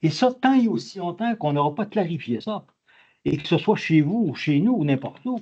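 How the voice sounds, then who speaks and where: A man with a high pitch and a dark, mellow tone talks at a moderate pace, his pitch swinging very widely. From Quebec. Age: 80s+. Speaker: audience member, retired doctoral graduate. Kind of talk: audience question at lecture. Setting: conference hall. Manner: halting.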